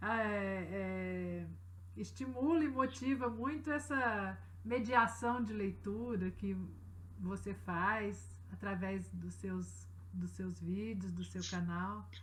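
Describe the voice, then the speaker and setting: A woman's very slow speech amid audible room echo and noticeable background noise. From Brazil, Belo Horizonte (Minas Gerais). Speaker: writer. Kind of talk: interview.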